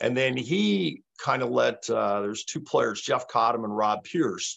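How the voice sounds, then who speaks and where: In a Canadian accent, a man talks at a fairly slow pace. The background is quiet. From Canada, Toronto. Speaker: former handball champion; podcast guest. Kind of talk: casual interview chat. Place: home room. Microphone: video call.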